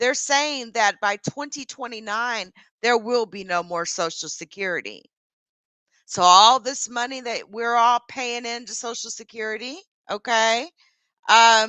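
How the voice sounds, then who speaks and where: An unremarkable speaking voice with an American accent, fairly slow, with ordinary pitch variation and big swings in loudness, in a dry, close sound with no echo. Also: woman, fairly high pitch for a woman. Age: 40s. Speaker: YouTuber. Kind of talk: livestream chat. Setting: livestream. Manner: casual, with many fillers.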